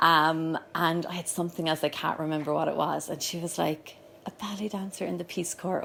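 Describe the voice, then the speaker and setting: A woman with a Cork accent speaks at a moderate pace and a fairly low pitch, in monotone, flat intonation with vocal fry. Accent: Cork Irish. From Ireland, Cork. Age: 30s. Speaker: yoga school owner. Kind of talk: personal talk. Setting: live event with audience.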